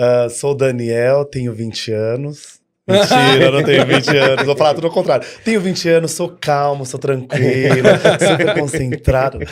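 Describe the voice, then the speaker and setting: Intonation moves up and down in a typical manner. The tempo is middling. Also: man, fairly high pitch for a man. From São Paulo, Brazil. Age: 30s. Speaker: dance studio owner. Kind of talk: podcast interview. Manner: animated.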